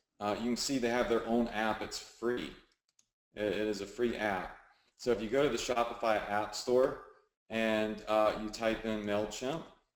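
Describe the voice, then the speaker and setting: A man's medium-pitched voice, monotone and flat, at a moderate pace, with audible room echo. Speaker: online marketing coach. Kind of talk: webinar tutorial. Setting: live webinar with screen share. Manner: casual, filler-heavy.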